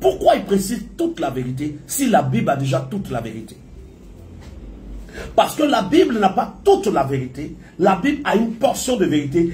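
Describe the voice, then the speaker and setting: A man speaks at a high pitch with very wide pitch swings. Audible room echo and music in the background accompany him. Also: moderate pace, big swings in loudness. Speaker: prophet preacher. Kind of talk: sermon.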